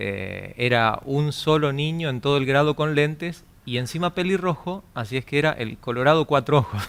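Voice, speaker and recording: A man with a fairly high pitch keeps a moderate pace, with ordinary pitch variation and hardly any pauses. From Argentina, Santa Fe province (Cañada de Gómez). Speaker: radio announcer. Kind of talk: testimony. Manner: hesitant with many fillers.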